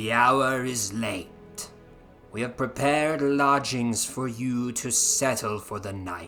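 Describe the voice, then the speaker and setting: Putting on a character voice, a man speaks at a fairly slow pace and a medium pitch while faint music plays in the background. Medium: read story. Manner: smooth, insinuating.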